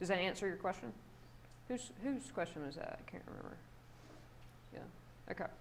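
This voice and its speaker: With a South Carolina accent and vocal fry, this speaker moves at a fairly quick pace through long, frequent pauses, big swings in loudness and very wide pitch swings, with audible room echo. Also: woman, medium pitch for a woman. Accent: toned-down South Carolina. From South Carolina, US South. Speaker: psychology professor. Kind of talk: guest lecture. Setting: classroom with students. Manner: casual, conversational.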